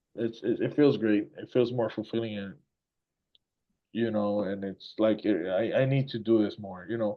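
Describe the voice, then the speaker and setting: Here a man talks with a Puerto Rican accent. His pitch is medium and his pace moderate. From Puerto Rico. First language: Spanish. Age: 40s. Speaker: musician. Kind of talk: casual chat. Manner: animated.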